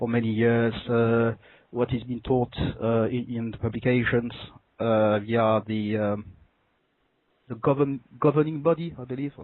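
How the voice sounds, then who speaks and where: Speaking in a French accent at a fairly slow pace, the voice keeps a fairly even intonation and takes long, frequent pauses. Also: man, medium pitch for a man. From France. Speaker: caller. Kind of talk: phone call conversation. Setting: phone call. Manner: halting, many fillers.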